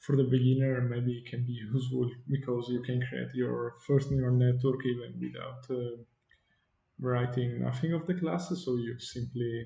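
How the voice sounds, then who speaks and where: A somewhat breathy voice with a dark, mellow tone and audible room echo. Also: man. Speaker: software developer. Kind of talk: tutorial. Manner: halting, many fillers.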